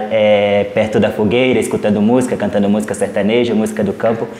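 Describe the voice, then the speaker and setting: A man talks at a medium pitch while noticeable background noise carries on around him. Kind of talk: interview answer.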